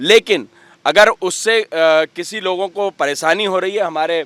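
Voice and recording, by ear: A man's fairly bright voice, dry and close with no echo, with ordinary pitch variation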